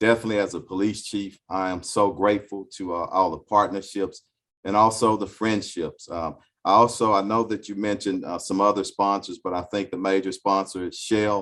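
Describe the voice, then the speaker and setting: A man with an American accent, fairly low in pitch, at a fairly quick pace and in a monotone, flat intonation, against a quiet background. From Houston, Texas. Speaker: police chief. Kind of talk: speech to business group. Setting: video call. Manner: many fillers and repetitions.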